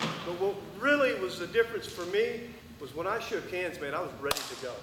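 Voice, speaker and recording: A man speaks while clearly audible noise sits in the background. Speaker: wrestling coach; former Olympic wrestler. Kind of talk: coaching clinic talk. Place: hall.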